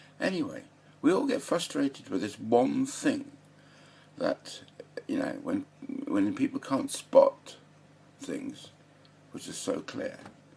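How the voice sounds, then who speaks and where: Speech comes at a very slow pace, broken by long, frequent pauses. Noticeable background noise is present. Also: man. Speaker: political commentator vlogger. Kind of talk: casual monologue. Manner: halting, many fillers.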